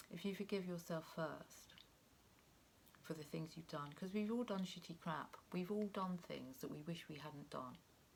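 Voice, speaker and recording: Soft-spoken and somewhat breathy, the speaker goes at a moderate pace with ordinary pitch variation. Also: woman. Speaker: tarot reader. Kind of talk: tarot reading monologue. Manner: halting, many fillers.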